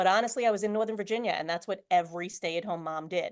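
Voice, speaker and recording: The speaker is a woman. She talks with a New York accent. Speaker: real estate agent. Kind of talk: interview. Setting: video call.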